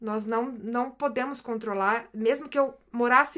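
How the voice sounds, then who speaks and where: The tone is bright and sharp, with fairly even intonation at a fairly slow pace. The recording is very clean, with a silent background. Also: woman. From Brazil, Paraná. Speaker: psychologist and missionary. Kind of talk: casual chat.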